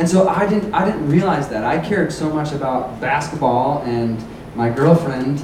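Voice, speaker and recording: Amid noticeable background noise and audible room echo, a man with a fairly high pitch speaks at a fairly slow pace. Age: 20s. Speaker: youth pastor. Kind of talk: sermon.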